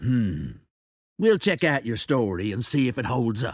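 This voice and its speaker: On a very clean recording with a silent background, a man puts on a raspy character voice at medium pitch and a moderate pace. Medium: video game. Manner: contemptuous, menacing.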